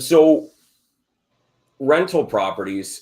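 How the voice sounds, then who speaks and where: The speaker is a man. He moves through very wide swings in pitch. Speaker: real estate investor teaching numbers. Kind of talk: live stream presentation and Q&A. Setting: live video stream. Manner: casual, many fillers and repeats.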